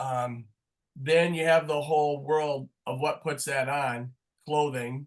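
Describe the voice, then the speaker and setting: A man's fairly high voice at a very slow pace, in monotone, flat intonation. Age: 60s. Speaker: sport marketing professor. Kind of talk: webinar interview.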